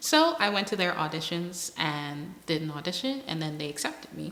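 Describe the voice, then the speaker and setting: Over noticeable background noise and audible room echo, a woman talks at a fairly low pitch with ordinary pitch variation. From Bahamas, Berry Islands. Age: 20s. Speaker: interviewee, student and model. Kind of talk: personal interview.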